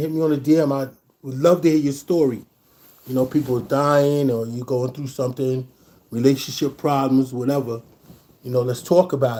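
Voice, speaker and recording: The man speaks at a fairly quick pace with a dark, mellow tone. His pitch sits fairly high for a man. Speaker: DJ and podcast host. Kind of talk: livestream monologue. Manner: fast; casual slangy.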